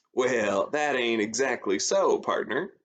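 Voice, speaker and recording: A man's put-on character voice in a Western US accent, drawling at a fairly slow pace. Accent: Western folksy drawl. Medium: read story. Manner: folksy, drawling.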